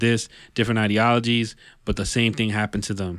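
A man's medium-pitched, monotone, flat delivery with a New York accent at a very fast pace, on a very clean recording with a silent background. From New York City area (Yonkers). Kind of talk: casual chat. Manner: halting, many repetitions.

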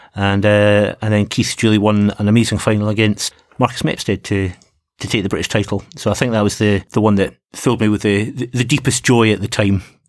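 Fairly quick and monotone with flat intonation, a man with a Scottish accent and a fairly low pitch speaks on a very clean recording with a silent background. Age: 50s. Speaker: fencing coach and podcast host. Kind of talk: casual chat.

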